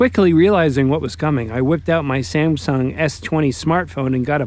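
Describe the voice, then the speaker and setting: A man talks at a fairly quick pace with hardly any pauses, his pitch fairly high and his intonation lively. Noticeable background noise runs underneath. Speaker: railfan video narrator. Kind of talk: documentary voiceover narration. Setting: college radio station studio, muffled with background buzz.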